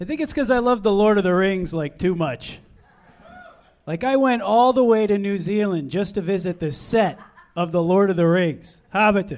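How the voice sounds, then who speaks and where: Moderately paced speech with lively intonation, noticeable background noise underneath. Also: man, high pitch for a man. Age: 30s. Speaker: comedian. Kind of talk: stand-up.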